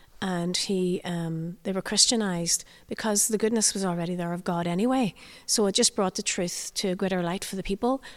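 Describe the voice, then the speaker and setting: On a very clean recording with a silent background, a woman with a Northern Irish accent talks at a fairly quick pace, medium in pitch with ordinary pitch variation. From Northern Ireland. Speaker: tour guide, former barrister. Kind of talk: guided tour talk. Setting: inside a church on location.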